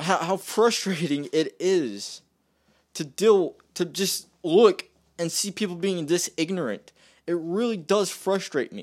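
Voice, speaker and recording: Very slow speech with ordinary pitch variation, on a very clean recording with a silent background. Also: man, high pitch for a man. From West Virginia. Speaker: podcast host. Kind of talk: angry political rant, solo monologue. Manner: rambling, repeating himself, filler-heavy.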